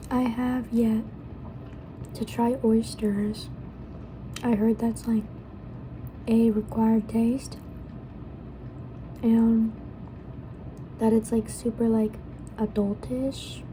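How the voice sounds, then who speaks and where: Soft-spoken and monotone, the voice moves at a very slow pace with flat intonation and long, frequent pauses. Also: woman. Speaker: student. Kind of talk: ASMR eating and casual ramble to camera.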